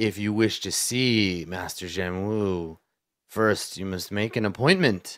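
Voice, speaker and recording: Using a put-on character voice, a man speaks at a fairly slow pace and fairly low pitch. The recording is very clean, with a silent background. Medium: actual play. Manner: formal, archaic phrasing.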